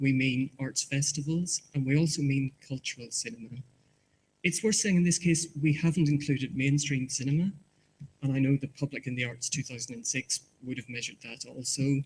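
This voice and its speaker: A man speaks in a Northern Irish accent at a fairly quick pace. His fairly high, somewhat breathy voice shows ordinary pitch variation. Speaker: market research presenter. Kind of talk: conference presentation. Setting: conference hall with audience. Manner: halting, repeats words.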